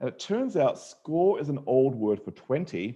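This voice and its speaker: With an Australian accent, a man speaks in a dark, mellow tone, his fairly high pitch making very wide swings. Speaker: mathematician, panel speaker. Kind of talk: lecture. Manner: animated.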